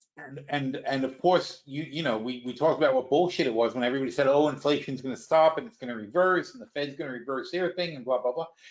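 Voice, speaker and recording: A man with an American accent and a fairly high pitch, at a very fast pace with hardly any pauses and big swings in loudness. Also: ordinary pitch variation. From United States. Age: 60s. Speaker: stock market analyst and webinar host. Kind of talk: live webinar commentary. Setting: live online webinar. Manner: casual, repetitive stammering restarts.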